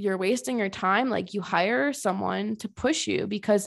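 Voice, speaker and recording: An American woman speaks with an animated tone, very wide pitch swings and vocal fry, in an American accent. The recording is very clean, with a silent background. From Connecticut. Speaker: podcast host, fitness competitor. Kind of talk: casual monologue.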